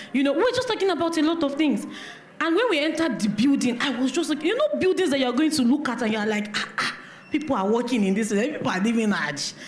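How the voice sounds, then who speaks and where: A woman's high voice with a Nigerian accent, very fast and very even in loudness, its pitch swinging very widely, amid audible room echo and noticeable background noise. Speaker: event organizer, business network founder. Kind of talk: speech of thanks at event. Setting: church hall event with audience.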